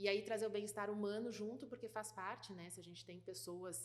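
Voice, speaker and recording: A woman's voice swings very widely in pitch and carries vocal fry at a moderate pace. Room echo is audible. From Rio Grande do Sul, southern Brazil. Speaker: food industry executive. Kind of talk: interview. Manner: hesitant, many fillers and repetitions.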